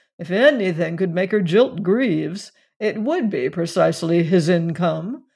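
An unforced reading voice carries the passage.

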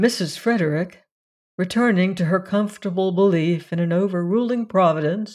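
The background is quiet as an unforced reading voice moves with ordinary pitch variation.

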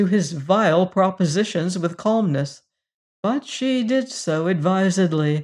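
A natural reading voice is heard, with a quiet background behind it.

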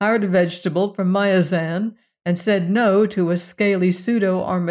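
Over a quiet background comes an unforced reading voice, its intonation fairly even.

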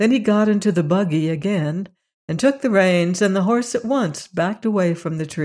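The backdrop is quiet. What comes through is plain reading aloud.

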